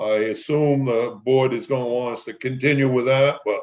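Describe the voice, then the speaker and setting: Flat and monotone, a man with a medium pitch talks at a moderate pace. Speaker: blasting contractor presenting to planning board. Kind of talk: presentation at public meeting. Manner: louder voice than colleague; hesitant, many fillers. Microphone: quiet remote audio, volume needed raising.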